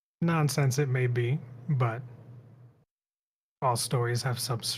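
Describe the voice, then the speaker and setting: A man puts on a character voice, talking rather slowly at a medium pitch. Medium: actual play. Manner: terse, guarded.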